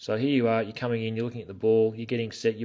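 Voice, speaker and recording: This man speaks at a medium pitch. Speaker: golf coach. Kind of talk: video swing review. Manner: fast; hesitant, many fillers.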